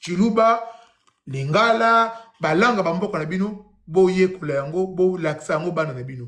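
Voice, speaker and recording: Audible room echo surrounds a man with a Congolese accent and a high pitch, who speaks at a fairly slow pace with lively intonation. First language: Kikongo (speaking French). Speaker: YouTube speaker on Congolese history and religion. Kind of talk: lecture with reading aloud.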